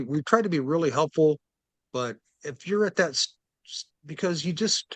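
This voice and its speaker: Lively intonation carries this voice with an American accent. The pace is moderate, and the sound is dry and close with no echo. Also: man. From US Midwest, Kansas City. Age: 60s. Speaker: record store owner. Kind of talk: interview. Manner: halting.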